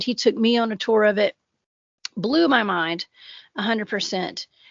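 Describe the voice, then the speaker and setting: A woman's fairly high voice with a strong Southern US accent and ordinary pitch variation. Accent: heavy Southern US. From US South. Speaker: cryptid researcher and podcaster. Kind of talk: casual podcast chat.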